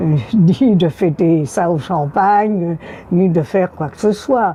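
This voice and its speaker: Amid noticeable background noise, a woman with a fairly low pitch speaks at a very slow pace with ordinary pitch variation. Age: 90s. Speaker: elderly woman recalling first vote. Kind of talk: interview testimony.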